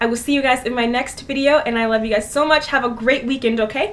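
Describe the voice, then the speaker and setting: Raised and projected, a woman's high voice comes across bright and sharp, with ordinary pitch variation. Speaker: DIY fashion YouTuber. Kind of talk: tutorial. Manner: fast; animated.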